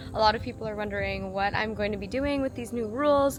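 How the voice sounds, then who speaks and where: Over music in the background, a woman with an American accent talks at a very fast pace and a fairly high pitch. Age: 20s. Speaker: vlogger and small business owner. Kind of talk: casual vlog talk to camera.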